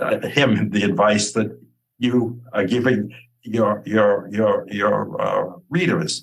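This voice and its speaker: A man speaks at a very slow pace with vocal fry, a fairly low pitch, ordinary pitch variation and very even loudness. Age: 80s+. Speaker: author, grieving father. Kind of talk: interview. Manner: halting, many repetitions.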